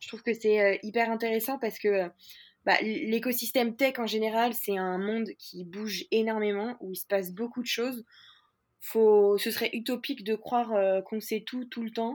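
A woman's voice with fairly even intonation and big swings in loudness, in a very clean recording with a silent background. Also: moderate pace. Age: 20s. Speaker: startup founder. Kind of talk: interview. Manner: hesitant, many fillers.

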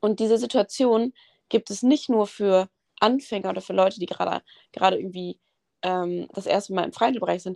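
In an ordinary speaking voice, a woman moves along fairly quickly. Her medium pitch shows ordinary variation. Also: dry, close sound with no echo. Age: 20s. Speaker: university student and gym content creator. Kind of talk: casual chat.

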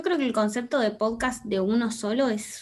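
A Rioplatense accent at a moderate pace, with ordinary pitch variation. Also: woman. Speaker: podcast guest. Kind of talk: casual chat. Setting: video call.

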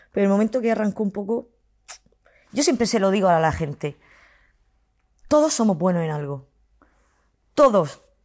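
Heard on a very clean recording with a silent background, a woman talks at a medium pitch. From Spain, Murcia. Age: 40s. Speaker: content creator. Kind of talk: interview.

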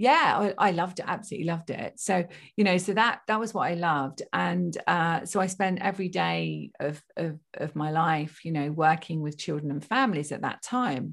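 A woman speaks with a fairly low pitch, ordinary pitch variation and vocal fry, with hardly any pauses, in a very clean recording with a silent background. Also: moderate pace. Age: 50s. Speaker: spiritual medium and psychotherapist. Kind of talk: interview.

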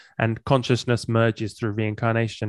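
Recorded with a dry, close sound with no echo and a quiet background, a man speaks with an English accent. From England. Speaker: musician and podcaster. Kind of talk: casual interview chat.

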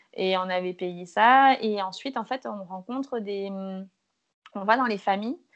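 Against a quiet background, a woman talks at a medium pitch with ordinary variation in her pitch. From Martinique. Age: 20s. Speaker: travel Instagrammer and photographer. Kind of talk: casual chat. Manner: hesitant, many fillers.

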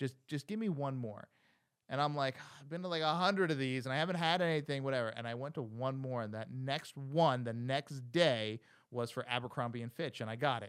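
Delivered at a moderate pace, a normal speaking voice with an American accent shows ordinary pitch variation. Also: man. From New Jersey Shore, small town. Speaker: podcast host. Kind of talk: casual interview.

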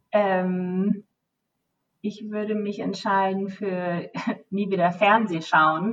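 This woman talks at a very slow pace, with long, frequent pauses. Her medium-pitched voice stays monotone and flat. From Germany, Hesse (Bad Homburg). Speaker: travel company account manager. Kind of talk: interview. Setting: office. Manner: halting, many fillers.

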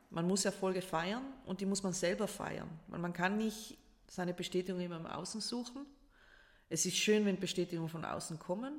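A woman speaks in a South Tyrolean accent. Her pitch variation is ordinary. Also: medium pitch for a woman, moderate pace. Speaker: life coach and public speaker. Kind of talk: casual interview. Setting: in person at the host's home.

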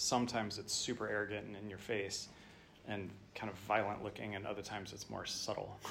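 With audible room echo, a man talks at a fairly quick pace in a fairly low, monotone voice with flat intonation. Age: 40s. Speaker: parent of three, church member. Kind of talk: group discussion.

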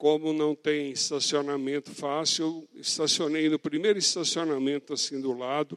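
The sound is dry and close with no echo as a man talks in an unremarkable speaking voice. His pitch is fairly high and his pace moderate. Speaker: pastor. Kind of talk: sermon.

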